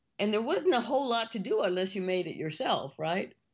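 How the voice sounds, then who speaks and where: A woman with an American accent, lively intonation and a fairly quick pace. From US South, Rio Grande Valley, Texas. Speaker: business consultant and CEO. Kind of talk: interview. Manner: high-energy.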